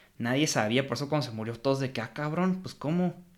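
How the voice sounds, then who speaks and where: Here a man speaks with a Mexican accent. His pitch is medium. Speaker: film podcast host. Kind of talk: casual film review chat.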